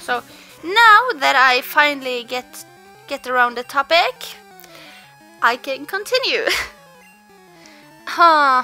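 Over music in the background, a woman with a high pitch uses a raised, projected voice at a very slow pace, with big swings in loudness and long, frequent pauses. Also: lively intonation. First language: not English. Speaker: let's play gamer. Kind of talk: casual gameplay commentary. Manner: some stuttering.

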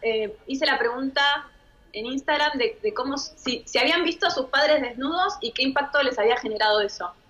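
A woman with a Rioplatense accent talks at a high pitch with lively intonation. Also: fairly quick pace. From Argentina. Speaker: sexologist; guest. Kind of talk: expert Q&A on radio. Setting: studio. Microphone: too quiet.

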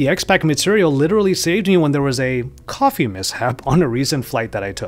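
Very fast speech comes from a man. He uses lively intonation. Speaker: tech reviewer. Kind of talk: product review commentary. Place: home room. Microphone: studio mic.

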